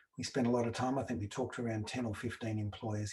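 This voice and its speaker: Somewhat breathy, the voice carries an Australian accent and fairly even intonation. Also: man. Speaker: researcher presenting a report. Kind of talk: webinar presentation. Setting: online webinar with slides.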